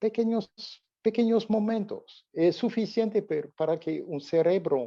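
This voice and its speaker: A man's high-pitched, dark, mellow voice with a French accent, ordinary pitch variation and a fairly slow pace. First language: French (speaking Spanish). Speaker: olfactory therapy expert. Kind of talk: interview. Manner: halting.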